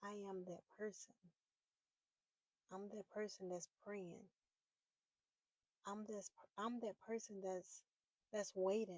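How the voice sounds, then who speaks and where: Speaking at a very slow pace with long, frequent pauses, a woman keeps a medium pitch and a monotone, flat intonation in a dry, close sound with no echo. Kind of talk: personal faith talk to camera. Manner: halting, repeating words.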